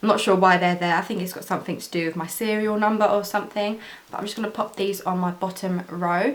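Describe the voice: A woman at a fast pace, fairly even intonation, with audible room echo. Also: medium pitch for a woman.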